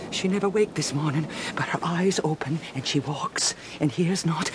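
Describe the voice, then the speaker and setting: A woman with a fairly low pitch and lively intonation, amid noticeable background noise. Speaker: actor playing a villager character. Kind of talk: dramatic narration, full-cast audio play. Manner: agitated, emphatic, fervent.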